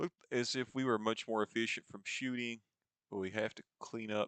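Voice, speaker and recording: Fairly low in pitch, a man with a slight Eastern Kentucky accent talks at a fairly slow pace, with a dry, close sound and no echo. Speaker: sports video game commentator. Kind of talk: gameplay commentary. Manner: casual, conversational.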